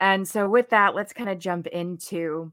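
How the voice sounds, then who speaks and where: A woman with an American accent speaks at a fairly low pitch and fairly slow pace, her intonation fairly even and her tone bright and sharp. The recording is very clean, with a silent background. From New Jersey. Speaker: podcast host, physical therapist. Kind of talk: solo monologue podcast. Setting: alone in her room. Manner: casual, filler-heavy.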